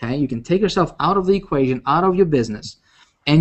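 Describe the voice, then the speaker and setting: A man with a non-native accent speaks at a fairly high pitch, his pitch varying in an ordinary way. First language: not English. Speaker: online marketing coach. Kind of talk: live webinar presentation. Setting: live video hangout. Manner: animated, repetitive with many fillers.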